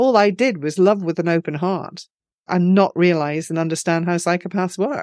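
At a moderate pace, a woman with an Edinburgh accent speaks in a fairly low pitch with ordinary pitch variation. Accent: Scottish (Edinburgh). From Scotland, Edinburgh. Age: 50s. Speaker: author. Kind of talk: interview.

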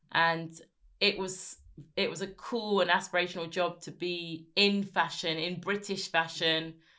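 A woman speaks in a southern English accent with a fairly low pitch and a bright, sharp tone. Her delivery is fairly slow and monotone with flat intonation, on a very clean recording with a silent background. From Sussex, southern England. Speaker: broadcaster and writer. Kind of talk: casual interview chat.

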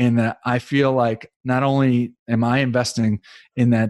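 Dark and mellow in tone, a man's medium-pitched voice keeps a fairly even intonation. The recording is very clean with a silent background and a dry, close sound with no echo. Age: 50s. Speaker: real estate investor and loan trader. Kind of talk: casual interview.

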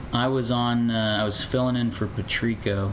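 Over noticeable background noise, a man speaks at a fairly quick pace in a monotone, flat delivery. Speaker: radio host, husband of host. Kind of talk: casual conversation with wife. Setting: recorded at home. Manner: monotone, long pauses.

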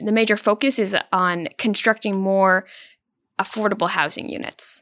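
A woman speaks at a moderate pace and a medium pitch in a plain, everyday voice, with a dry, close sound with no echo on a very clean recording with a silent background. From Prince Edward Island, Canada. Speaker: newspaper reporter. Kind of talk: interview.

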